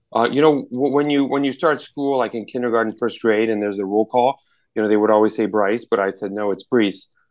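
Speaking with an American accent, a man has a medium pitch. He moves at a fairly quick pace with ordinary pitch variation. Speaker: outdoor gear entrepreneur. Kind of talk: casual interview. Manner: halting, many repetitions.

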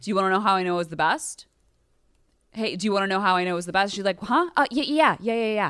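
This woman speaks in an animated tone at a very fast pace, with lively intonation and a medium pitch. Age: 30s. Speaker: comedian. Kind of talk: casual chat.

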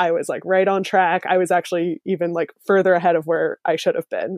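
With a plain, everyday voice, a woman speaks at a medium pitch and fairly quick pace, her intonation fairly even, in a dry, close sound with no echo. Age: 20s. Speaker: zero waste blogger. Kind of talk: casual interview chat. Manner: chatty with fillers and laughs.

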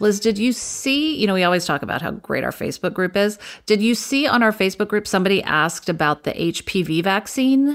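In a very clean recording with a silent background, a woman speaks with an American accent at a medium pitch. Her pace is very fast, with lively intonation and hardly any pauses. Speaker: podcast co-host and TV writer. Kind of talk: casual chat.

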